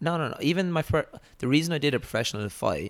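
A man with a southern Irish accent at a very fast pace. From Ireland, Waterford (south). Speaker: professional boxer. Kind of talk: casual interview chat.

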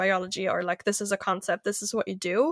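A woman with a German accent talks at a moderate pace, in a dry, close sound with no echo. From Germany. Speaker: nonprofit founder and podcaster. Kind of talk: interview, casual conversation. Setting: remote podcast call. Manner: animated.

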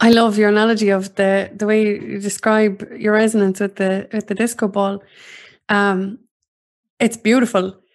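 With an Irish accent, a woman speaks at a medium pitch in a flat monotone, moving at a fairly slow pace with long, frequent pauses over a quiet background. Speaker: podcast host.

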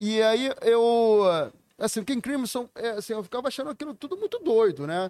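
A man talks at an extremely high pitch and a moderate pace, his intonation lively. The sound is dry and close with no echo, on a very clean recording against a silent background. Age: 40s. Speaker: record label owner. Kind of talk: casual chat.

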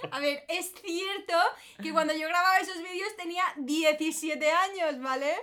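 Over noticeable background noise, a woman uses a raised, projected voice with an extremely high pitch, ordinary pitch variation and a fairly slow pace. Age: 20s. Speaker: influencer. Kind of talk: casual chat.

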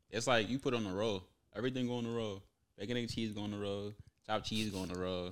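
A man with a New York accent talks at a very fast pace. His pitch is fairly low and his intonation fairly even. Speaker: podcast guest. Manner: fast talker.

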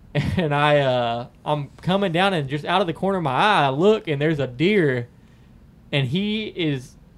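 With a Southern US accent, this man speaks at a fairly high pitch. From US South, Lake County (Florida). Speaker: hunter. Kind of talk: casual chat.

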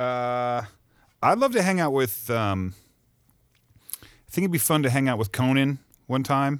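A man at a medium pitch with ordinary pitch variation, a fairly slow pace and long, frequent pauses, in a very clean recording with a silent background. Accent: American. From Missouri. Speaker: recording engineer. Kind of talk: casual chat.

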